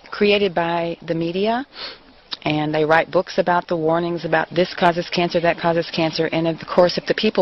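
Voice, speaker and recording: Fairly low female speech amid noticeable background noise. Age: 50s. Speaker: interviewee. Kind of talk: interview.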